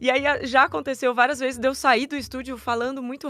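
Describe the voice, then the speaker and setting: A woman's raised, projected voice, high-pitched, at a very fast pace. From Brazil, São Paulo. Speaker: voice actor. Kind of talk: interview.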